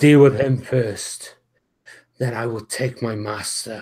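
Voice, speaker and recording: A man uses a put-on character voice with a growl at a medium pitch. He speaks at a fairly slow pace. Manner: menacing.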